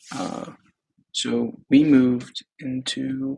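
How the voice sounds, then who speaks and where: A man speaks in a soft-spoken way. The sound is dry and close, with no echo. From Texas. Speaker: startup founder. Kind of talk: personal video diary. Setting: apartment, thin walls. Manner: casual, hesitant.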